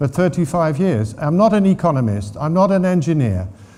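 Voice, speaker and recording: A man with a Dutch accent. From Netherlands. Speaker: water governance expert. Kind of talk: conference talk. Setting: stage with audience. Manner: hesitant, many fillers.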